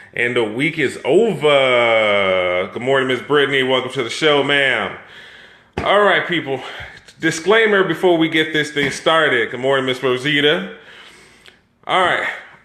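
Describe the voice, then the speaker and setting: In an animated tone with lively intonation, a man with fairly high pitch talks at a moderate pace amid audible room echo and noticeable background noise. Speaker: live stream host. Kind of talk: casual chat.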